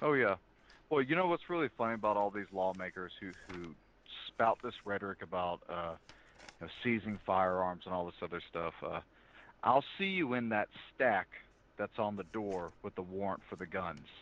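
At a moderate pace, a man with fairly low pitch and ordinary pitch variation speaks with long, frequent pauses. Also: dry, close sound with no echo. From US South. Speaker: federal law enforcement officer. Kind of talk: interview analysis. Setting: remote call. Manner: calm.

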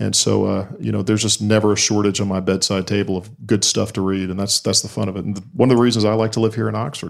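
This voice, with a slight Southern US accent, moves at a very fast pace with fairly even intonation. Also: man, fairly low pitch for a man. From Alabama. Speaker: crime novelist. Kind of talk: casual chat. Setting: bookstore event with audience.

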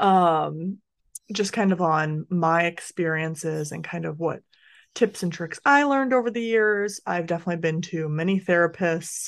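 A woman with a fairly low pitch and ordinary pitch variation, heard against a quiet background. It is a plain, everyday voice. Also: moderate pace. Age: 30s. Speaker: podcast host. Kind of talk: casual chat.

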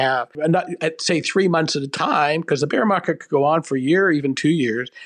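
A man talks in a normal speaking voice with a fairly high pitch, moving at a fairly quick pace with ordinary pitch variation. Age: 60s. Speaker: personal finance columnist. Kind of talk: interview. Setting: remote call.

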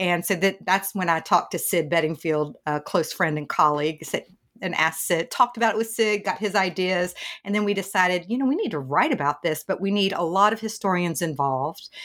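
A woman with a Southern accent at a fairly quick pace. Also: medium pitch for a woman, ordinary pitch variation. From US South, East Tennessee. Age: middle-aged. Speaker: journalism professor. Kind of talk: interview.

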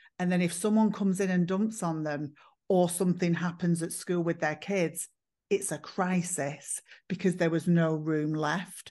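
Set against a quiet background, a dark, mellow voice with an English accent keeps a moderate pace and fairly even intonation. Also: woman, fairly low pitch for a woman. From northern England, Manchester. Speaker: psychotherapist and former hairdresser. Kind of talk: podcast interview.

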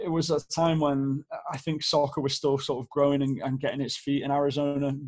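A man speaks very fast in a British accent. His intonation is flat and monotone. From northern England, Stockport near Manchester. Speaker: amateur soccer league organizer. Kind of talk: casual chat.

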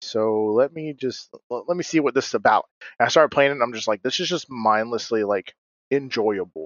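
Moving at a fairly quick pace with ordinary pitch variation, a man talks in an unremarkable speaking voice. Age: 20s. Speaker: podcast co-host. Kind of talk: casual chat.

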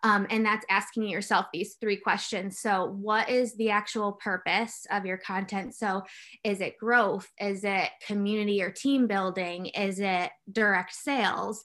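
Against a quiet background, a woman with a medium pitch speaks in a bright, sharp tone with monotone, flat intonation. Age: 30s. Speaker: marketing manager. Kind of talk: casual chat.

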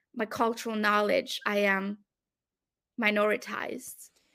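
Fairly slow and fairly even in intonation, this bright, sharp voice comes with a French accent on a very clean recording with a silent background. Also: woman. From France and Belgium. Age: 30s. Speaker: academic researcher. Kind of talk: interview conversation.

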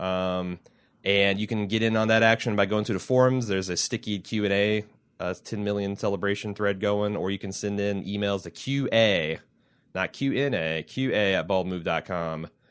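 A man speaks with a slight Midwestern accent. The background is quiet. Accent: slight Midwestern, cowboy-like twang. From US Midwest. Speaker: podcast host. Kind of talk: casual banter, co-hosted podcast.

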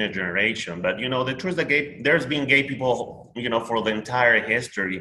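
Speaking with a Spanish accent, a man talks at a fairly quick pace and medium pitch. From Peru. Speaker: social media creator. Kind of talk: casual chat.

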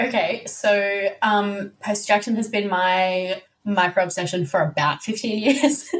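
Using an ordinary speaking voice, a woman speaks at a medium pitch and a fairly slow pace with ordinary pitch variation and hardly any pauses. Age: 20s. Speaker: guest, podcaster.

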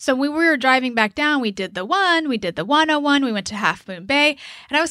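A woman speaks very fast in a high, bright, sharp voice that is raised and projected, with an animated tone and very wide pitch swings. The recording is very clean, with a silent background. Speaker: podcast host. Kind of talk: casual chat about reality TV. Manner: animated, chatty.

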